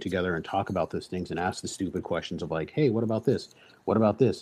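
Very fast and dark, mellow in tone, the voice shows ordinary pitch variation on a very clean recording with a silent background. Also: man. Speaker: writer and activist. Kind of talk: casual chat.

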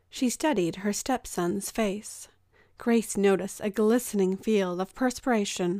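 The delivery is an unforced reading voice. Pitch moves in an ordinary way.

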